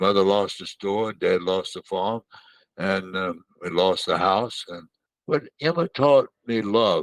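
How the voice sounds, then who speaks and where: In a Southern US accent, a man speaks very slowly at a fairly low pitch with ordinary pitch variation, the sound dry and close with no echo. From Mississippi, US South. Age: 100s; 80s+. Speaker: war veteran and children's author. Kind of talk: interview. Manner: halting.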